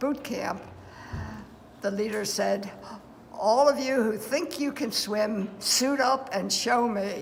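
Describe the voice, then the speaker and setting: Noticeable background noise runs under this clip. A woman speaks at a fairly high pitch with ordinary pitch variation. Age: 80s+. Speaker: war veteran. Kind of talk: interview answer. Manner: hesitant.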